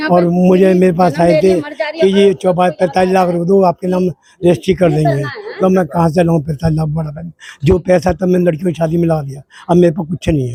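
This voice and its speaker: A man with a high voice keeps to a moderate speed, his intonation fairly even. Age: 60s. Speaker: local resident. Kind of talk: interview. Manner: halting.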